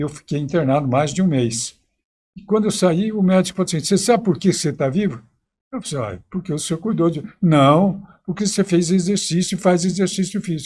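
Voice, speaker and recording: Speaking at a fairly quick pace, a man with a high voice uses ordinary pitch variation, captured on a very clean recording against a silent background. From Minas Gerais, Brazil. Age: 90s. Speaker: historian and teacher. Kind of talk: interview.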